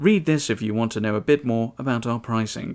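A man talks in an ordinary speaking voice with ordinary pitch variation at a moderate pace, in a very clean recording with a silent background. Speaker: podcast host. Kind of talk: scripted narration reading reviews aloud.

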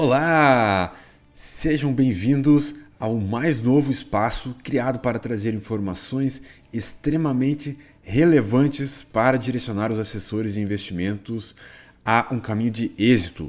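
A man with an ordinary speaking voice talks at a fairly slow pace, his medium pitch showing ordinary variation. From Rio Grande do Sul, Brazil. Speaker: investment advisor. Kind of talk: podcast monologue.

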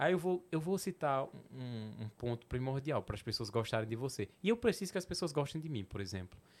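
The recording is very clean, and the background is silent. A man speaks fairly quickly, his pitch swinging very widely. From Petrolina, Pernambuco sertão, Brazil. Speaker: comedian. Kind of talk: casual chat.

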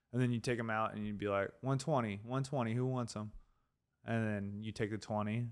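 A man talks at a fairly quick pace in a plain, everyday voice with fairly low pitch and fairly even intonation. The recording is very clean with a silent background. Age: 30s. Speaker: podcast co-host. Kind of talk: casual chat.

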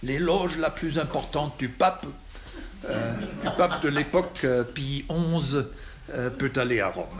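Over noticeable background noise and audible room echo, a man speaks at a very slow pace with a fairly high pitch and ordinary pitch variation. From Germany. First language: German (speaking French). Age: 60s. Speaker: Jesuit priest. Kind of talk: lecture. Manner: halting.

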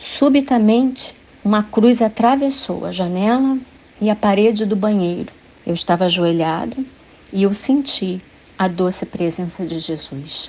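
A woman has a normal speaking voice at a medium pitch. Her intonation is lively. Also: fairly slow pace. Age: 50s. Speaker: church women's ministry volunteer. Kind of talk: scripted testimony.

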